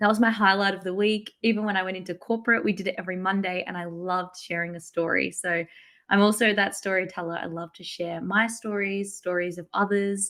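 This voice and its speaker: On a very clean recording with a silent background, a woman at a medium pitch speaks fairly quickly with monotone, flat intonation and big swings in loudness. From Australia, small country town. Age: 20s. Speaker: content marketing entrepreneur. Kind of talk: podcast interview. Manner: chatty.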